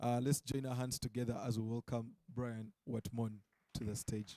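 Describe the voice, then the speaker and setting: Dark and mellow in tone, a man speaks at a medium pitch in a monotone, flat intonation, with a dry, close sound and no echo. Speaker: conference emcee. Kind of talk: stage introduction. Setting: conference stage with audience.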